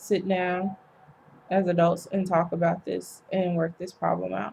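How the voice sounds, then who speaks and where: Her voice is somewhat breathy and medium-pitched, a woman speaking at a fairly slow pace with monotone, flat intonation. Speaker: vlogger. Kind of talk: personal vlog monologue. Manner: hesitant, many ums.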